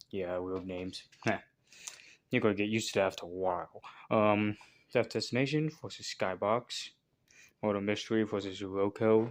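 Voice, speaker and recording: A man with fairly even intonation and long, frequent pauses, on a very clean recording with a silent background. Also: fairly low pitch for a man. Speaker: toy spinner hobby channel host. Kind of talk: casual commentary video. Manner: fast; halting.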